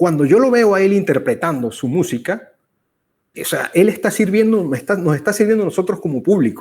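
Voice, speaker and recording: The recording is very clean with a silent background. A man talks at a fairly quick pace, high in pitch, with lively intonation. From Venezuela. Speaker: conversation series host. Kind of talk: casual conversation. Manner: halting, with fillers.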